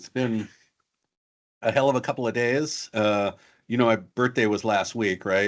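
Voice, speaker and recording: The background stays quiet. A man's words come at a moderate pace. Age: 60s. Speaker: cybersecurity guest expert. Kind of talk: casual interview chat.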